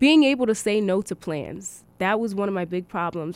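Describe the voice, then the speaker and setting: Her intonation lively, a woman speaks with an American accent. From Connecticut, New Britain. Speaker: college student. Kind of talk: radio interview. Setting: studio.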